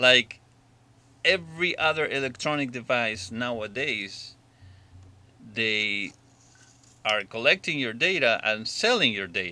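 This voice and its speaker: In a non-native accent, a man at medium pitch speaks fairly slowly in a bright, sharp tone with lively intonation and long, frequent pauses, on a very clean recording with a silent background. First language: not English. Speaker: drone hobbyist vlogger. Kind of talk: opinion monologue. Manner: halting.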